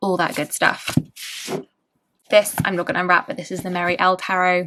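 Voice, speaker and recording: A woman with a bright, sharp tone speaks at a fairly low pitch on a very clean recording with a silent background. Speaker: tarot youtuber. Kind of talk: casual vlog talk. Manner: hesitant fillers; fast.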